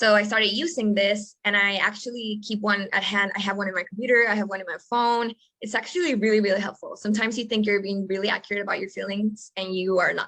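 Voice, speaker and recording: A woman with a Spanish accent speaks at a very fast pace with hardly any pauses. Her medium-pitched voice has a bright, sharp tone and fairly even intonation. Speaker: podcast co-host, coach. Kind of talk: casual chat.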